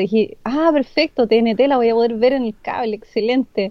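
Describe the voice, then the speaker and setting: A woman's plain, everyday voice with a fairly high pitch, ordinary pitch variation and a fairly quick pace. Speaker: podcast guest. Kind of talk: casual chat.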